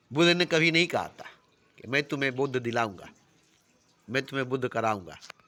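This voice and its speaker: A man with a bright, sharp tone and ordinary pitch variation speaks with long, frequent pauses. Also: medium pitch for a man. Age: 60s. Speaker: self-styled spiritual teacher. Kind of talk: spiritual discourse.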